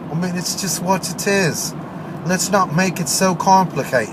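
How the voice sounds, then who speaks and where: A man with an American accent speaks at a fairly slow pace, high for a man. Noticeable background noise is audible. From Maryland, US. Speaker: internet radio host. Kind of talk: political rant monologue. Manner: animated.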